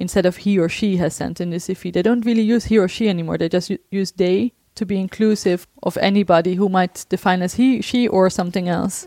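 With a Dutch accent, a woman of medium pitch speaks at a fairly quick pace with hardly any pauses, fairly even intonation and a dark, mellow tone. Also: dry, close sound with no echo, very clean recording, silent background. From Netherlands. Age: 30s. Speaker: researcher. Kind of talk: interview.

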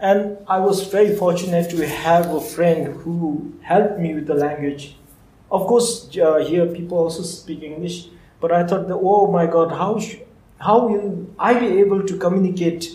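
With audible room echo, a man speaks in a high voice with a dark, mellow tone. His pace is fairly slow and his intonation fairly even. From Bhutan. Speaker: agricultural researcher. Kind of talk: live talk interview. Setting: live event with audience.

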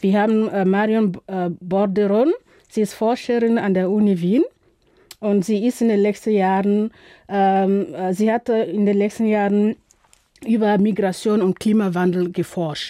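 Speaking at a fairly slow pace, a woman with a medium pitch keeps her loudness very even and leaves long, frequent pauses. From Burkina Faso. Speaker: film festival organizer and curator. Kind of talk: radio interview. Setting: radio studio. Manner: halting, many filler sounds.

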